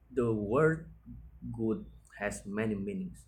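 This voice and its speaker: The pace is very slow. The speaker has a non-native accent. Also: man. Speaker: university student. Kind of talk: class presentation. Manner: halting, with self-corrections.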